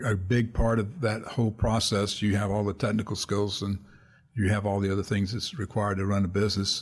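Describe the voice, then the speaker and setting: At a moderate pace, a man talks in a somewhat breathy, medium-pitched voice. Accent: American. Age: 70s. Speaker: retired accountant and financial planner. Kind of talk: casual interview conversation.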